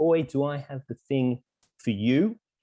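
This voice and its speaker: A man speaks with an Australian accent and ordinary pitch variation. The sound is dry and close, with no echo. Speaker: bird trivia writer and podcaster. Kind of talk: casual online presentation.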